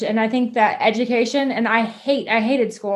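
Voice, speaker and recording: A woman with an ordinary speaking voice, fairly high in pitch, at a moderate pace and with fairly even intonation. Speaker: business co-owner. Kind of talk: interview.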